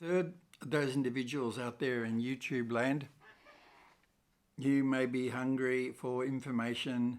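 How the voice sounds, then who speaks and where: A man with an Australian accent, medium pitch, fairly slow delivery with long, frequent pauses and fairly even intonation. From Australia, Melbourne. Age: 70s. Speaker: YouTuber and author. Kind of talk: channel introduction monologue. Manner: scripted, with hesitations.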